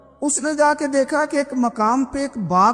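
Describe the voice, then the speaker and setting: With music in the background, a man talks at an extremely high pitch with lively intonation. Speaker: Islamic preacher. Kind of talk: Islamic sermon storytelling.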